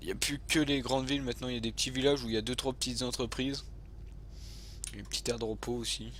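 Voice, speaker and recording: A man talks at a very fast pace. His speech is broken by long, frequent pauses. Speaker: gaming youtuber. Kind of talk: gameplay commentary. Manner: hesitant, many fillers.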